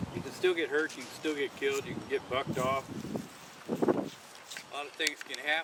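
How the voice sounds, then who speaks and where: With noticeable background noise behind him, a man speaks at a moderate pace in a fairly high pitch and monotone, flat intonation. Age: 60s. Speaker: war veteran and calf roper. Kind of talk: casual storytelling. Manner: halting, repeats words.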